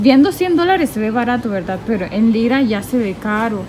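A woman talks at a fairly quick pace and fairly high pitch, with ordinary pitch variation. Clear background noise can be heard.

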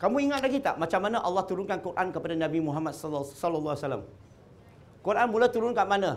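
Very fast and animated, a man speaks at a high pitch with lively intonation. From Malacca, Malaysia; Malaysia. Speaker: convert preacher; speaker. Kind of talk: religious talk to audience. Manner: animated, questioning audience. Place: hall. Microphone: lapel.

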